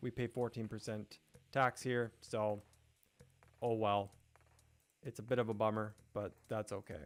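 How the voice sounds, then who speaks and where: Over music in the background, a man with an American accent speaks fairly slowly in a monotone, flat way, with long, frequent pauses. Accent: sounds American. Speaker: gaming YouTuber / live streamer. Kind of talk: casual live-stream gameplay commentary. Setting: live stream with chat, background music. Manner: casual, chatty, with fillers.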